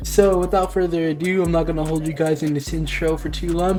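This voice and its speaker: A man talks over noticeable background noise. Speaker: gaming YouTuber. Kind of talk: gaming tutorial. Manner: casual.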